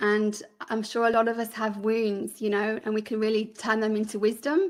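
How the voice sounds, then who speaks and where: A woman speaks at a moderate pace with a Birmingham accent, her fairly high voice held in a flat, monotone delivery. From England, Birmingham. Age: 40s. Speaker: podcaster and filmmaker. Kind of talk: interview.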